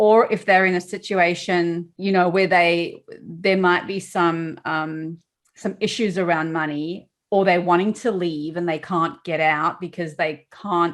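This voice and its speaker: Very clean and set against a silent background, the recording has a woman speaking at a fairly slow pace with a fairly low pitch and fairly even intonation. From South Africa. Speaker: podcast host. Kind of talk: casual chat.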